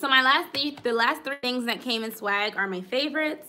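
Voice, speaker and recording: A normal speaking voice with ordinary pitch variation and a fairly quick pace. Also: woman. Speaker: planner YouTuber. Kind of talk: live stream haul. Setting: live stream. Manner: casual chatty.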